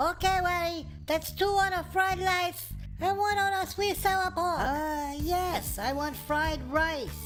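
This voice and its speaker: This is a put-on character voice that sounds squeaky. It moves at a fairly slow pace over clear music in the background. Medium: comedy sketch.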